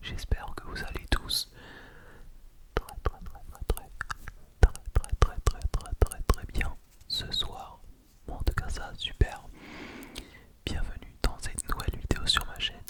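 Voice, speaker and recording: The speaker whispers at a very slow pace, with long, frequent pauses and big swings in loudness. Noticeable background noise sits behind it. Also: man. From France and Turkey (lives in Turkey). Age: 20s. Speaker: ASMR creator. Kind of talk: ASMR whispered close-mic chat to camera. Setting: home studio with condenser microphone. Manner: soft, close to the mic, hesitant with fillers.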